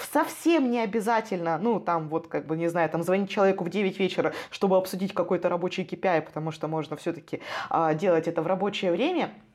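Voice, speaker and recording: A woman's animated tone comes through amid noticeable background noise. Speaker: corporate training manager. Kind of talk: casual chat.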